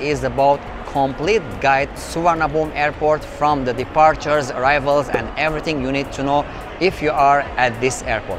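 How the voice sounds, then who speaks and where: Music plays in the background as a man speaks at a moderate pace, the sound dry with no echo. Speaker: travel vlogger. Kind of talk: casual vlog chat, guide intro. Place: station. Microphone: lapel.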